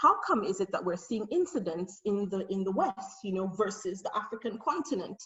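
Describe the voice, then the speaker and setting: This woman's voice is somewhat breathy, and she talks at a moderate pace. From Nigeria. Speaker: researcher and conference speaker. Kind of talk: conference presentation.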